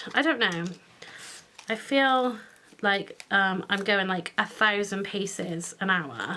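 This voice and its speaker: With a British accent, a woman speaks at a very slow pace with long, frequent pauses, her medium pitch, bright, sharp tone and ordinary pitch variation. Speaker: craft youtuber. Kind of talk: tutorial. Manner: hesitant, many fillers.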